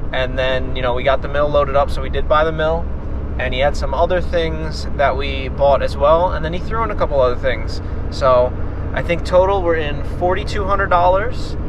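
A man talking at a fairly quick pace, dry with no echo, amid noticeable background noise. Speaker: small business owner vlogger. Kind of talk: casual vlog chat. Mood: upbeat, relaxed. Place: car. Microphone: phone near.

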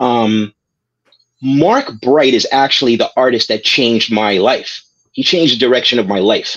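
In a quiet background, a man with an American accent speaks at a moderate pace, his loudness very even and his pitch varying in an ordinary way. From Brooklyn, New York. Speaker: comics writer and editor. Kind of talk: interview. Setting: video call. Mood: warm, reflective remembrance. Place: home room. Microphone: video call.

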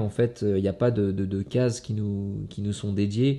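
Against a quiet background, a man speaks at a fairly low pitch with fairly even intonation and a dark, mellow tone. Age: 30s. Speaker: kickboxing world champion. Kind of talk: motivational monologue to camera. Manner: halting, many fillers and repetitions. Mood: reflective, earnest. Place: home room.

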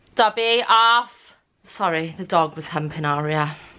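Light background noise sits behind a woman speaking at a moderate pace with a Welsh accent. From South Wales, UK. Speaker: mummy vlogger. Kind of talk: casual talk to camera. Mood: chatty, slightly tired. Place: home room. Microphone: phone near.

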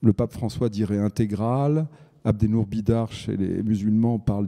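A man's fairly low, dark and mellow voice with ordinary pitch variation, a fairly slow pace and a quiet background. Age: middle-aged. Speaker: journalist and writer; journalist. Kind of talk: panel discussion. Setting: stage with audience. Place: stage. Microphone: handheld.

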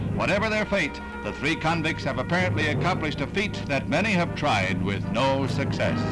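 Clear music plays in the background as a man speaks at a fairly quick pace. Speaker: newsreel announcer. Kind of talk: 1960s newsreel narration. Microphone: old recording.

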